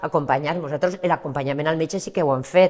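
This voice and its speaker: A woman's very deep, low voice with ordinary pitch variation against a quiet background. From Valencian Community. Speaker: charity association president. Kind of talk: TV interview. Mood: warm, earnest. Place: studio. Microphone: lapel.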